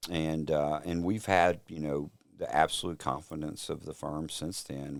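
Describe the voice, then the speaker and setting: With a strong Louisiana accent, a man talks at a moderate pace. His voice is very deep and low. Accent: Louisiana Southern accent, strong. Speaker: telecom company executive. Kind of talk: casual interview. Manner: hesitant, many fillers.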